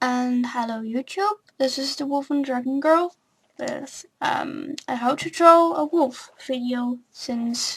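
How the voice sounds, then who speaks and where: A woman's high-pitched voice with ordinary pitch variation. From non-English-speaking country. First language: not English. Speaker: drawing tutorial youtuber. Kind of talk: tutorial. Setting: home recording with webcam. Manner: hesitant, many fillers.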